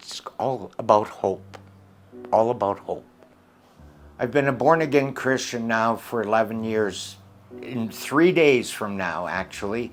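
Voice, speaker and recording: Over music in the background, a man with a western Canadian accent speaks fairly slowly at a medium pitch, using ordinary pitch variation and long, frequent pauses. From Canada. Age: 70s. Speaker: missionary. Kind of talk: testimony.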